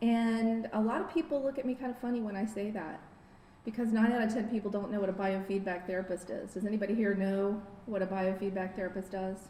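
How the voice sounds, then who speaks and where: A woman speaks with ordinary pitch variation. Noticeable background noise and audible room echo are present. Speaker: biofeedback therapist. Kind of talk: lecture.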